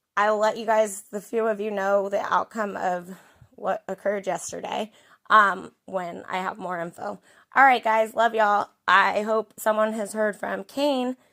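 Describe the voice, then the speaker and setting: The tone is bright and sharp, the intonation fairly even and the pace fairly slow, on a very clean recording with a silent background. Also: woman, medium pitch for a woman. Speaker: YouTube true crime commentator. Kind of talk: casual outro to viewers.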